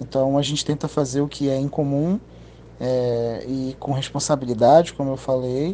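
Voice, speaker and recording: A man's fairly high voice at a fairly slow pace. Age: 30s. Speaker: audiovisual production business owner. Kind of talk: interview. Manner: halting, many fillers and repetitions.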